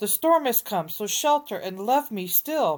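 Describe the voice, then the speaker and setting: At a moderate pace, a put-on character voice comes through a very clean recording with a silent background. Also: woman. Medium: read story.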